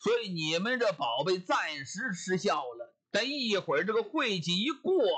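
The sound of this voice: Quiet surroundings and an unforced reading voice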